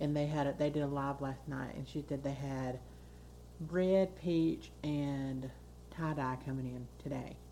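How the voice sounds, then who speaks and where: In an American accent, a woman talks at a fairly slow pace amid audible room echo. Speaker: podcast co-host. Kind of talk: casual chat.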